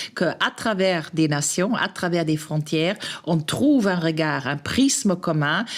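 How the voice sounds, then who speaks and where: A woman with a non-native accent speaks at a fairly slow pace in a fairly low pitch. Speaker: podcast host. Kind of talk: podcast interview. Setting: café. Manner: hesitant, many fillers.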